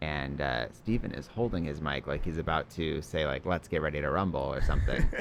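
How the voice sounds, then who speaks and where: A man mumbles at a fairly quick pace with hardly any pauses. His pitch is very deep and low, with ordinary pitch variation. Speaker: improv comedian. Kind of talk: casual chat. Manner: mumbling.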